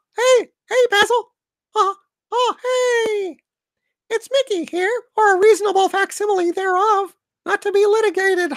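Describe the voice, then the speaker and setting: At a moderate pace, an extremely high-pitched put-on character voice carries on between long, frequent pauses. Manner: cheerful, laughing.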